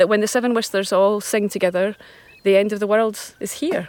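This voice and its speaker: A woman's fairly high voice with a Scottish accent. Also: dry, close sound with no echo. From Scotland. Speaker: folk singer-songwriter. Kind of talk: casual interview. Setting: outdoors on a walk.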